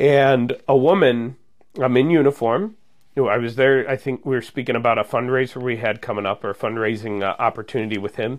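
A man with an American accent and an unremarkable speaking voice, medium in pitch with ordinary pitch variation, at a fairly quick pace. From Munster, Indiana (northwest Indiana). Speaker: police officer. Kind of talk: casual interview.

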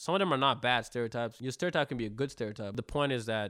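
A man's very fast, animated voice of medium pitch, bright and sharp in tone with ordinary pitch variation, on a very clean recording with a silent background. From Africa. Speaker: rapper. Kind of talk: casual chat.

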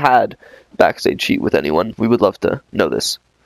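The voice is an unremarkable speaking voice, heard with a dry, close sound and no echo. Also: man. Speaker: podcast host. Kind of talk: interview, casual chat.

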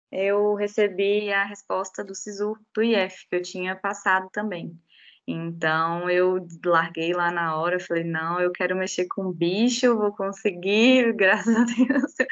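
A woman speaks at a medium pitch with fairly even intonation. She talks very slowly. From Brazil, Goiás, Rio Grande do Norte and Belo Horizonte. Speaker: animal science graduate, regulatory analyst. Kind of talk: casual interview.

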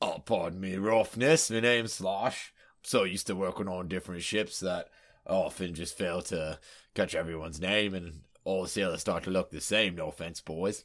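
A man's put-on character voice, raspy and very deep, at a moderate pace with ordinary pitch variation, on a very clean recording with a silent background. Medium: actual play. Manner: chummy, wheeling-dealing.

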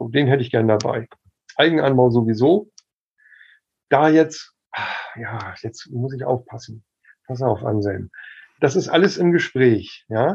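In a quiet background, a man with a medium pitch and a somewhat breathy voice speaks at a fairly slow pace, with long, frequent pauses and big swings in loudness. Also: lively intonation. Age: 50s. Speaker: medical cannabis expert and activist. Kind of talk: casual chat.

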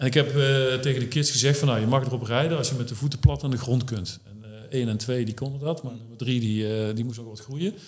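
Talking at a very fast pace with hardly any pauses, a man at a medium pitch keeps his intonation fairly even while his loudness swings widely, with audible room echo. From Netherlands, Brabant. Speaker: startup founder. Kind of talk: interview.

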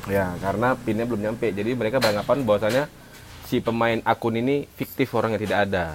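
Talking at a very fast pace, a man holds a medium pitch with fairly even intonation. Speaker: podcast co-host. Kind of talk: casual chat. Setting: coffee shop.

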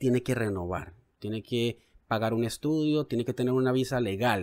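A man with an ordinary speaking voice talks at a moderate pace and medium pitch, with ordinary pitch variation. The recording is very clean, with a silent background. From Colombia, Cali. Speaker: journalist and podcast co-host. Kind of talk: casual news discussion.

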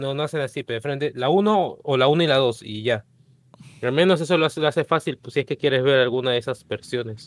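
The speaker talks at a very fast pace with a Peruvian accent. Pitch variation is ordinary. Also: man, fairly high pitch for a man. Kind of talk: casual chat.

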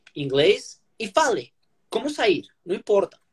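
Very slow is the pace of this man's speech. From Colombia. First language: Spanish (speaking Portuguese). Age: 30s. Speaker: lawyer and language learner. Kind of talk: interview. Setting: Instagram live video call. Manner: halting.

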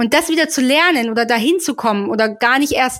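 A woman speaks at a moderate pace with high pitch. Her pitch variation is ordinary. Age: 30s. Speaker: holistic women's health coach. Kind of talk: casual interview.

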